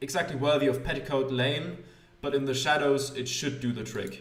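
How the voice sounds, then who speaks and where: With music in the background and audible room echo, a man talks at a fairly high pitch with fairly even intonation. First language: not English. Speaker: gaming youtuber. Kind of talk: let's play commentary reading game text aloud. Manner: hesitant, many fillers.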